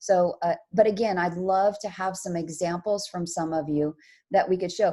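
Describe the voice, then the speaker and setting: A woman speaks at a medium pitch with fairly even intonation and a dark, mellow tone. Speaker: teacher. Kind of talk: presentation on video call. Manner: fast.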